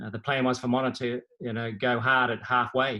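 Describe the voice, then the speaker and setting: The speaker has an Australian accent and a bright, sharp tone. The intonation stays monotone and flat. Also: man. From Australia, Victoria (Bendigo). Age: 60s. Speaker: former competitive runner. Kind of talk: casual interview chat.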